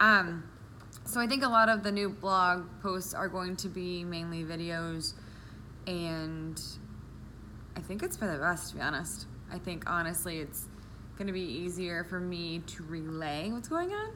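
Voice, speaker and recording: With a bright, sharp tone and a fairly low pitch, a woman speaks at a fairly slow pace with ordinary pitch variation, long, frequent pauses, and audible room echo. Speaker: vlogger with diabetes, medical office worker. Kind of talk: personal vlog. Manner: sometimes mumbling.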